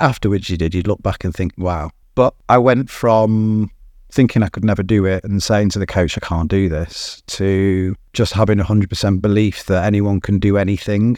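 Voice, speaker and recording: Against a quiet background, a man speaks with a British accent. His voice is fairly low-pitched, with a dark, mellow tone. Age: 50s. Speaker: business co-founder. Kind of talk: interview.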